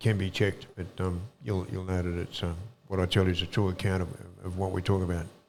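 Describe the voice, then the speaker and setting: A man with an Australian accent, very deep and low in pitch, at a very fast pace with monotone, flat intonation. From Australia, Sydney. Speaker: former bank robber and author. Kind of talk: interview, life story. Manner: hesitant, many fillers and repeats.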